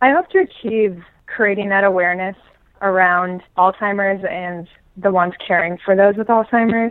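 Using fairly even intonation, a woman talks at a medium pitch with an American accent. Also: moderate pace. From US Midwest, Omaha, Nebraska. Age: 20s. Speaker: playwright. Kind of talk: interview.

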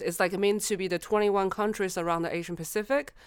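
A woman speaks with a plain, everyday voice at a medium pitch. Her pitch variation is ordinary, and the recording is very clean with a silent background. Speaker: innovation consultant. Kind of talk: casual chat. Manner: giggly, upbeat.

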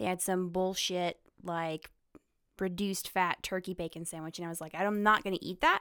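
In a Southern US accent, a woman with a medium pitch and a bright, sharp tone speaks at a moderate pace with fairly even intonation and big swings in loudness, the sound dry and close with no echo in a very clean recording with a silent background. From North Carolina. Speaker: guest, girlfriend of a host. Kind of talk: casual banter. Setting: studio.

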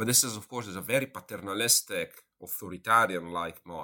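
This man has an Italian accent, a bright, sharp tone and fairly even intonation. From Italy. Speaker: professor of international relations. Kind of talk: interview. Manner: halting.

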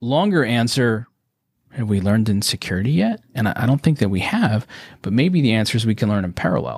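A man with a plain, everyday voice speaks at a medium pitch and a fairly quick pace, with ordinary pitch variation. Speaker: business coach. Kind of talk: casual chat. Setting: video call.

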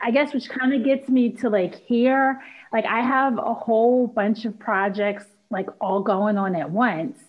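With an American accent, a woman talks at a fairly slow pace in a somewhat breathy, fairly high voice with ordinary pitch variation. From Philadelphia. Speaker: singer-songwriter and actress. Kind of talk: casual interview.

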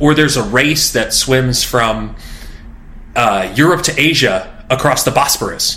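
Noticeable background noise surrounds a man speaking at a fairly slow pace. His medium-pitched voice has lively intonation. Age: 40s. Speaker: fitness journalist and author. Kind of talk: interview.

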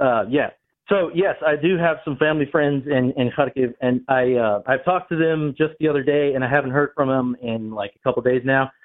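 A man with a fairly high pitch speaks at a moderate pace, with ordinary pitch variation. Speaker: caller. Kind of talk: phone-in call. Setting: phone call. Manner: walking while talking.

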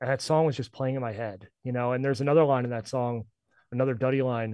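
With an American accent, a man talks at a very fast pace. His pitch is medium and his intonation fairly even. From US Northeast, northern New Jersey. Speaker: music collective founder. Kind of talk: podcast interview.

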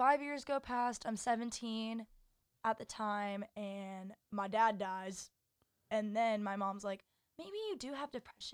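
Recorded very cleanly against a silent background, a woman speaks at a fairly slow pace in an unremarkable speaking voice, with ordinary pitch variation and a dry, close sound with no echo. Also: fairly high pitch for a woman. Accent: American. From Texas, Dallas. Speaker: college student. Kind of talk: casual chat.

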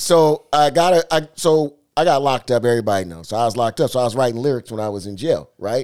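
Speaking at a very fast pace with lively intonation, a man is heard in a very clean recording with a silent background and a dry, close sound with no echo. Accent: American. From Seattle. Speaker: DJ. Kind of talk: casual chat.

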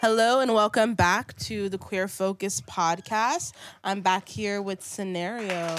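Fairly slow delivery from a woman, her pitch varying in an ordinary way. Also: medium pitch for a woman. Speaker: podcast interviewer. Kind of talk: casual interview. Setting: studio. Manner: animated, laughs often.

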